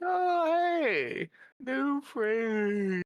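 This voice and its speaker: A put-on character voice, high-pitched, with very wide pitch swings. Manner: youthful, cheerful.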